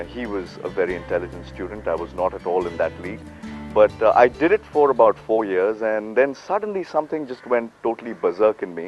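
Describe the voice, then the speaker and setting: A man's loudness swings widely. Music plays in the background. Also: fairly quick pace. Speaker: radio jockey and voice-over artist. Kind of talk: interview answer. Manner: casual, hesitant.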